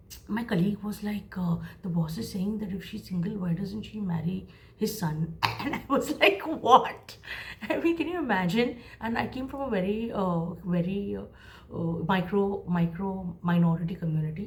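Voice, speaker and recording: A woman talks at a moderate pace, and the room gives her voice an audible echo. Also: medium pitch for a woman, ordinary pitch variation. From India, Mumbai. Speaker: creative professional and vlogger. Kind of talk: casual storytelling.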